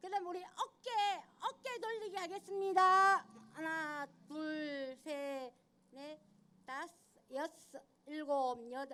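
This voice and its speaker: A woman with an extremely high pitch and a bright, sharp tone speaks in a raised, projected voice at a very slow pace, with lively intonation, big swings in loudness and long, frequent pauses. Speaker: union member leading exercises. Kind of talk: exercise instruction. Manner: counting aloud rhythmically.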